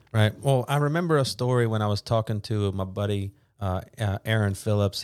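A man's dark, mellow voice at a fairly low pitch and moderate pace, with a dry, close sound with no echo, on a very clean recording with a silent background. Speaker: podcast host and CrossFit coach. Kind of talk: casual podcast interview. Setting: studio.

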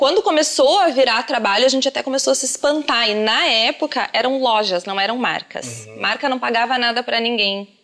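With music in the background, a woman in a southern Brazilian accent speaks in a high pitch at a fairly quick pace, with ordinary pitch variation and hardly any pauses. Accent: gaúcho Brazilian Portuguese. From southern Brazil, Rio Grande do Sul. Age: 30s. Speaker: makeup artist and influencer. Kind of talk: casual interview. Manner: animated.

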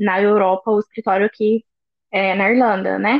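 Intonation stays fairly even as a woman speaks at a medium pitch. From Brazil, interior of Minas Gerais. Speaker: finance manager, expat. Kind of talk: casual interview chat.

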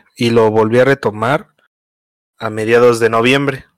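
With a Mexico City accent, a man speaks at a medium pitch in a flat monotone. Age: 20s. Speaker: streamer. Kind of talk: casual chat.

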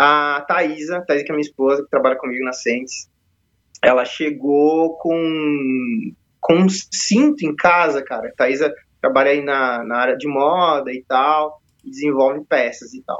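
Here a man with an ordinary speaking voice talks at a fairly slow pace, fairly high in pitch, with ordinary pitch variation. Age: 30s. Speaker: leather strap maker, entrepreneur. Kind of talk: casual interview chat.

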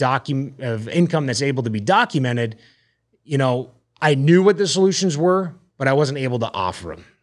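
In a very clean recording with a silent background, a man with an American accent speaks at a moderate pace and medium pitch in a normal speaking voice with lively intonation. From Arizona (Phoenix area), US. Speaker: podcast host, mortgage branch manager and former hockey player. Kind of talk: casual monologue.

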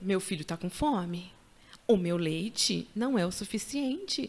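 A woman has an unremarkable speaking voice at a medium pitch. She speaks at a fairly slow pace with lively intonation. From Paraná, Brazil. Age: 30s. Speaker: mother and social psychologist. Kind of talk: testimony.

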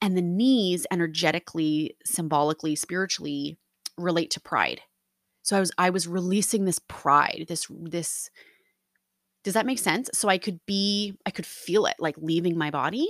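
A woman with a fairly low pitch speaks at a moderate pace in an animated tone with ordinary pitch variation. The recording is very clean, dry and close, with a silent background and no echo. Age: 30s. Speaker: podcast host. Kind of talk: casual solo monologue. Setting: home recording.

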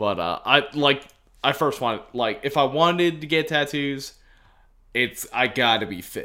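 On a very clean recording with a silent background, a man with a Southern US accent speaks at a fairly slow pace in a fairly high pitch, his bright, sharp tone touched by vocal fry. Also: ordinary pitch variation. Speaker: radio host and podcaster. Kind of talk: casual chat.

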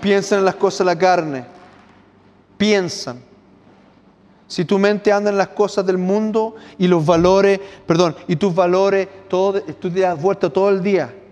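A man speaks at a fairly slow pace in a high pitch, with long, frequent pauses. His loudness stays very even. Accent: Chilean. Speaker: pastor. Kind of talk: sermon. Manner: animated.

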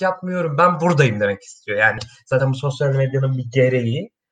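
A man talks in a normal speaking voice at a moderate pace. His intonation is lively. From Turkey, Kastamonu. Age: 20s. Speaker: podcast co-host, architecture student. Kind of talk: casual chat.

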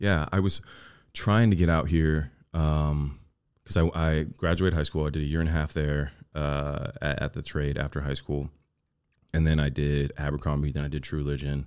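A man with a Southern Californian accent and a very deep, low pitch speaks at a moderate pace with fairly even intonation. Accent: Southern California American. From Orange County, California. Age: 30s. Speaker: actor and entrepreneur. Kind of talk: casual chat.

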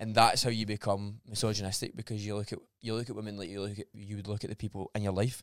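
Spoken in a Scottish accent at a very fast pace with hardly any pauses, the monotone, flat voice has a dry, close sound with no echo on a very clean recording with a silent background. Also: man, fairly low pitch for a man. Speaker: personal trainer. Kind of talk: casual chat.

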